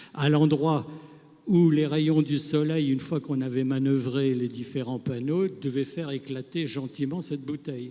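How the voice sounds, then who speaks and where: At a moderate pace, a man speaks in a fairly high pitch with a dark, mellow tone. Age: 80s+. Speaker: retired solar energy pioneer. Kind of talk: interview anecdote.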